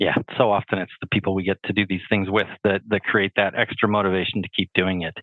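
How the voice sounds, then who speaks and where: Delivered at a very fast pace in a Canadian accent, the speech runs in a monotone, flat intonation. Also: man, fairly low pitch for a man. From British Columbia, Canada. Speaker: podcast host. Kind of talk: podcast interview.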